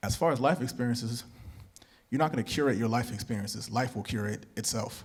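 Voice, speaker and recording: Medium in pitch, a man speaks at a fairly quick pace with fairly even intonation. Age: 20s. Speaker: jazz musician. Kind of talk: masterclass Q&A answer. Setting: stage with audience.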